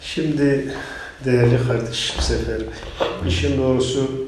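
Light background noise and audible room echo around a male voice. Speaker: member of parliament; politician guest. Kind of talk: interview on politics. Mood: indignant, earnest. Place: studio.

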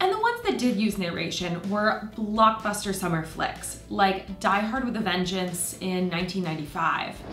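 Moderate-paced speech with audible room echo and faint music in the background. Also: woman. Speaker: video host. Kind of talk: documentary explainer narration. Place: home room.

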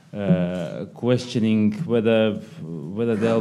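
A man speaks very slowly in a fairly low voice with a dark, mellow tone. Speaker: policy analyst. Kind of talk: seminar presentation. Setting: stage with audience. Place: meeting room. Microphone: podium.

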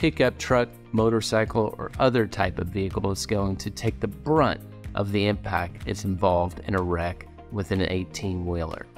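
Over faint music in the background, a man with a very deep, low pitch talks at a moderate pace. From Kentucky. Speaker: personal injury lawyer. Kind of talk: scripted explainer. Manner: formal. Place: office.

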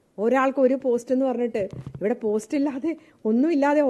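A woman's high-pitched voice with lively intonation over noticeable background noise. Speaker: politician. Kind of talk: press statement / interview. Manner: animated.

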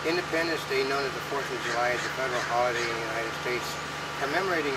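Loud background noise surrounds a man talking at a very fast pace, the sound dry with no echo. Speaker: co-host of a web news show. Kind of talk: casual talk-show commentary. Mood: wry, joking. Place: garden. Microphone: camera far.

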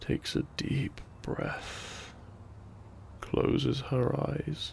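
A man's medium-pitched voice with vocal fry and very wide pitch swings

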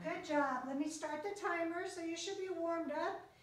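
A woman at a moderate pace, with audible room echo and faint music in the background. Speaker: fitness instructor. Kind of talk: workout instruction. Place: gym. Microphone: camera far.

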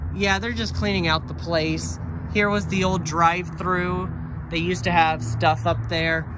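A man speaks at a fairly slow pace over loud background noise. The sound is dry, with no echo. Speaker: urban explorer vlogger. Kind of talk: casual vlog chat. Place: street. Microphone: phone near.

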